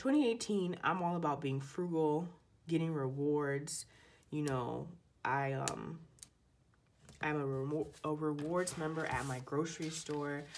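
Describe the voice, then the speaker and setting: In a very deep, low pitch, a woman speaks at a fairly slow pace, leaving long, frequent pauses. Her intonation stays fairly even, and the room echo is audible. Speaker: planner video creator. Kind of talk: casual tutorial. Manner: chatty, casual.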